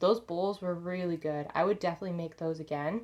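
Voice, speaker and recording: A woman with an unremarkable speaking voice, medium pitch and fairly even intonation, in a very clean recording with a silent background. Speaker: lifestyle vlogger. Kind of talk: casual vlog talk to camera.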